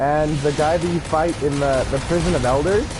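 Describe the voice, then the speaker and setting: A speaker with an American accent is heard with audible room echo and music in the background. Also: man. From California. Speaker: gaming streamer. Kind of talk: live gameplay stream talk. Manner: halting, many fillers.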